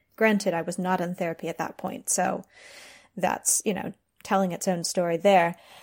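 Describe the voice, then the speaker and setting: A woman speaks at a moderate pace with fairly even intonation and a medium pitch, in an unremarkable speaking voice. The recording is very clean, with a silent background. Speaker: freelance journalist. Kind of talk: recorded contribution about PTSD and travel.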